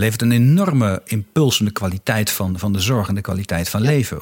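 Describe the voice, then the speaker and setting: A man speaks with ordinary pitch variation. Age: 40s. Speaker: podcast host, strategy consultant and former politician. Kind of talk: interview conversation. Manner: hesitant, repeats words.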